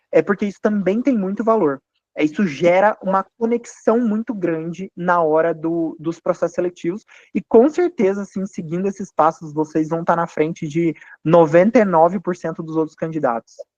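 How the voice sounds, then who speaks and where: At a moderate pace, a man with a high pitch and ordinary pitch variation speaks in a dry, close sound with no echo against a quiet background. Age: 30s. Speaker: financial firm founder. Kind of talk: panel talk to students. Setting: university event. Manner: hesitant fillers.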